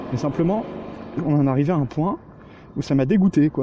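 A fairly quick-paced male voice with ordinary pitch variation. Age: 20s. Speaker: podcast co-host. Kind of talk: recorded audio monologue.

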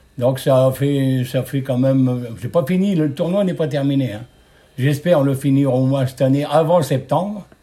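A man talks at a moderate pace in a fairly high pitch, with ordinary pitch variation. His tone is dark and mellow, and somewhat breathy. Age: 70s. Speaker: retired steelworker, club committee member. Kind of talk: interview.

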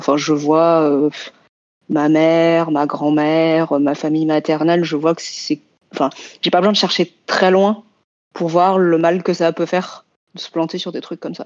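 A woman speaks at a fairly slow pace, with long, frequent pauses. Her fairly low voice stays monotone and flat. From France, Vietnamese diaspora family. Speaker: science fiction and fantasy author. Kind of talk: roundtable discussion.

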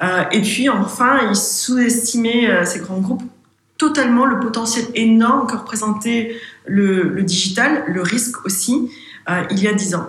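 A woman's fairly high voice, with ordinary pitch variation and a fairly slow pace, in a space with audible room echo. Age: 40s. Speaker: consultancy founder and CEO. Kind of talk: podcast interview. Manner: hesitant, many fillers and repetitions.

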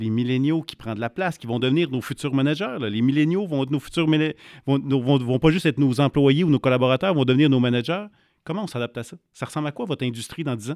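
A man with a Quebec accent talks at a very fast pace. His voice is fairly high, with ordinary pitch variation. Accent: Québécois French. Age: 40s. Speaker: podcast co-host, entrepreneur. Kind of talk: interview.

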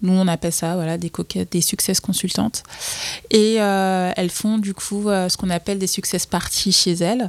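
On a very clean recording with a silent background and a dry, close sound with no echo, a woman of medium pitch talks at a moderate pace in a monotone, flat intonation. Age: 20s. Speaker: entrepreneur. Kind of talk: casual chat. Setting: office. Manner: halting.

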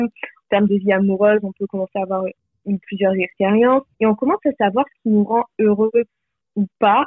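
In an unremarkable speaking voice, a woman talks at a medium pitch, her pitch varying in an ordinary way. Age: 20s. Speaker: life coach. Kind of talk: podcast interview.

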